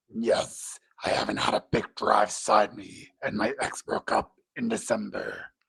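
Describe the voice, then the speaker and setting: Moderately paced speech in a raspy, put-on character voice. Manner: hard to understand, muffled.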